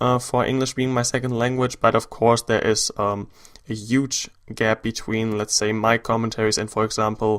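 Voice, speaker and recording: A man with a German accent speaks at a moderate pace. His medium-pitched voice has a monotone, flat intonation. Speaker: gaming YouTuber. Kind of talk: gameplay commentary. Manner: hesitant, many fillers.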